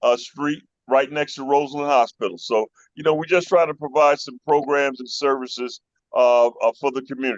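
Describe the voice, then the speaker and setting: In an American accent, the speaker moves at a fairly quick pace with fairly even intonation. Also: man, fairly high pitch for a man, big swings in loudness. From Chicago, North Side (Uptown). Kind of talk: casual interview chat. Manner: halting with many fillers.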